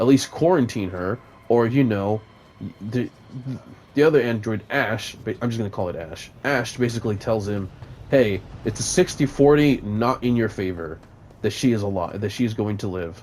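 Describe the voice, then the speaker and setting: A man mumbles at a moderate pace, his pitch medium with ordinary variation. Long pauses come often. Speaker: gaming YouTuber reviewing a movie. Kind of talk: casual rambling movie review over gameplay. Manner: mumbling; hesitant, many fillers.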